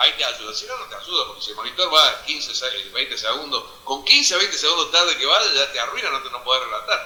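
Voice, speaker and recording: A man talks at a very fast pace with hardly any pauses, his loudness swinging widely over noticeable background noise. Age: 60s. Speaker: football commentator. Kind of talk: interview. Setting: stage with audience.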